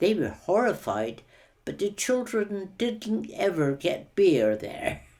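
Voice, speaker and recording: A woman speaks at a very slow pace in a Cornish accent. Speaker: war-time eyewitness. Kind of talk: oral history interview.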